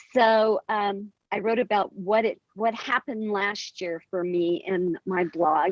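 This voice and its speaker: With an American accent, a woman with an unremarkable speaking voice talks fairly slowly at a fairly high pitch. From US West, southeastern Colorado ranching community. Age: 60s. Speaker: author and poet. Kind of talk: interview.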